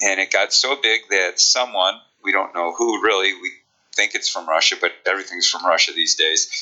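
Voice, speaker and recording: This voice comes with a Chicago accent. Its pace is moderate. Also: man. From Chicago, US Midwest. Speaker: speed coach and history teacher. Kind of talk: casual interview chat.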